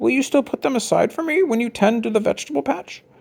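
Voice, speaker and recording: A man puts on a character voice at an extremely high pitch, talking at a very fast pace. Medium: read story.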